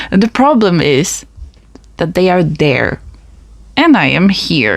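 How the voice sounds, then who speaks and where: A woman talks at a fairly slow pace. She speaks with a Polish accent. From Poland. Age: 20s. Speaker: podcast host. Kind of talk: personal monologue podcast. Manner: casual, conversational.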